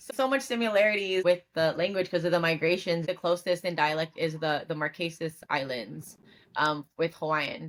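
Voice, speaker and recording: A woman with an American accent speaks at a moderate pace, her pitch fairly low with ordinary variation. The recording is very clean, the background silent. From California. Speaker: podcast host. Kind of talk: casual interview chat.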